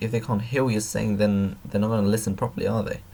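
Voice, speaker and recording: This man's voice is fairly low and somewhat breathy. He talks at a fairly quick pace. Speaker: YouTuber giving advice. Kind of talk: tutorial. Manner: not projecting, quiet; halting, many fillers.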